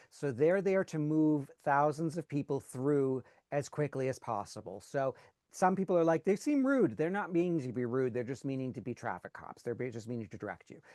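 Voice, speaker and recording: Here a man's fairly high voice has a dark, mellow tone, lively intonation and big swings in loudness, with a dry, close sound and no echo. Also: fairly quick pace, quiet background. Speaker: cruise group organizer. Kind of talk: online orientation presentation. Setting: video call. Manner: fast.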